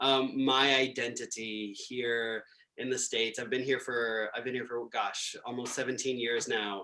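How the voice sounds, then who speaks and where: Speaking with an Israeli accent, a man uses a bright, sharp tone at a medium pitch, with monotone, flat intonation and a fairly slow pace. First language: Hebrew. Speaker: composer. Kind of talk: panel discussion. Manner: halting, with many repeated words.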